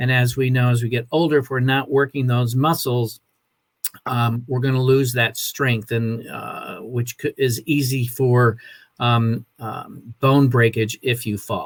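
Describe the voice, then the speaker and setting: Somewhat breathy, a man speaks at medium pitch and a fairly slow pace with monotone, flat intonation. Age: 60s. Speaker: wellness program promoter. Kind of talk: casual chat. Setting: Facebook live video. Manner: halting.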